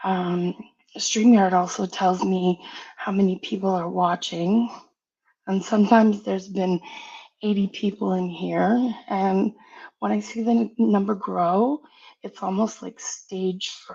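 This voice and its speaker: A woman with a dark, mellow, medium-pitched voice talks at a fairly slow pace with fairly even intonation. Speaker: live streamer. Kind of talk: personal apology statement. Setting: live stream. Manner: soft-spoken.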